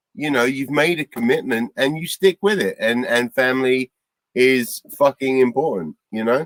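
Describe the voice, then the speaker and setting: This is a normal speaking voice at a moderate pace with ordinary pitch variation. The sound is dry and close, with no echo. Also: man, medium pitch for a man. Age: 40s. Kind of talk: casual chat.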